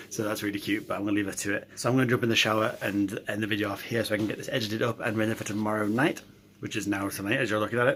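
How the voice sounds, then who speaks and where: A quiet man's voice, fairly low and monotone, with flat intonation and a very fast pace. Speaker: vlogger. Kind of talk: casual vlog talk.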